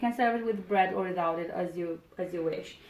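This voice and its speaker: Moderate pace and medium pitch from a woman, with fairly even intonation and noticeable background noise. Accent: Romanian. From Romania. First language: Romanian. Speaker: cooking video host. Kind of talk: cooking tutorial. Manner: halting, with repeated words and fillers.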